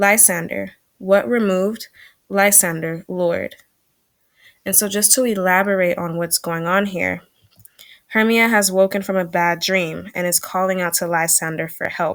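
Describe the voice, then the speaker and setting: In an ordinary speaking voice, a woman talks at a fairly slow pace and medium pitch with fairly even intonation. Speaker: teacher. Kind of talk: recorded online lesson.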